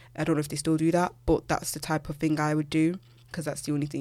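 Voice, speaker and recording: A woman with a British accent speaks at a very fast pace in a very deep, low voice with vocal fry, on a very clean recording with a silent background. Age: 20s. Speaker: podcast host and university student. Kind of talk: casual solo chat. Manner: animated.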